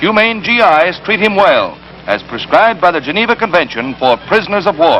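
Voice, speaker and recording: Over background music, a man with a high pitch talks at a fairly quick pace with very even loudness. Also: lively intonation. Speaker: newsreel narrator. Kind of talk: wartime newsreel narration.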